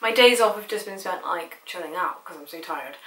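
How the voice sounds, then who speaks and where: A woman speaks at a fairly high pitch with ordinary pitch variation. There is noticeable background noise. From Bristol, England. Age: young. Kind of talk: casual talk to camera.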